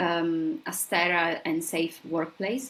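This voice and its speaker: A woman speaks with an Italian accent at a fairly low pitch. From southern Italy. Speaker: scientist. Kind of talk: interview.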